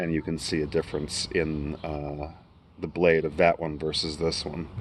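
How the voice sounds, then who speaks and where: The voice is quiet, with an American accent. The pace is fairly slow. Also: man. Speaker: YouTuber reviewing knives. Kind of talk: casual product review vlog. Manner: quiet, kept low.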